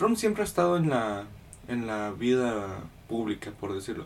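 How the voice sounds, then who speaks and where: With a normal speaking voice, a man talks at a fairly slow pace, at a medium pitch and with ordinary pitch variation. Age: 20s. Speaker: podcast host. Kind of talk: casual chat.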